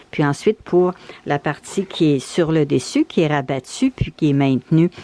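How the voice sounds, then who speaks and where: A woman speaks at a moderate pace with ordinary pitch variation. The sound is dry and close with no echo, though there is noticeable background noise. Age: 70s. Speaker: bird feeder crafter. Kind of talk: DIY tutorial talk. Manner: casual, explanatory.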